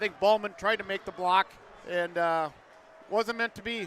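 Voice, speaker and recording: Over noticeable background noise, a raised, projected voice with an American accent keeps a fairly even intonation. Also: man. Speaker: hockey color commentator. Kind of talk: live sports commentary. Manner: hesitant, with fillers.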